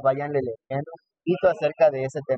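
Very fast and somewhat breathy, a man with a fairly high pitch and a dark, mellow tone talks in a dry, close sound with no echo. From Mexico, Texcoco (State of Mexico). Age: 20s. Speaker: cardiovascular nurse and lecturer. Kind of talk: casual interview. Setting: in person recording.

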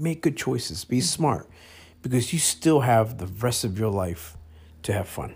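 A man talks at a moderate pace and a medium pitch, his voice somewhat breathy. His pitch swings very widely on a very clean recording with a silent background. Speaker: podcast co-host. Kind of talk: casual chat.

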